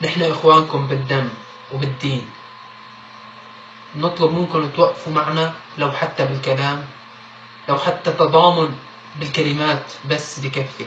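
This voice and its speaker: A man with a Syrian accent, fairly high pitch, fairly slow pace and monotone, flat intonation, amid noticeable background noise and audible room echo. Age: young. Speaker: activist. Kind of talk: appeal.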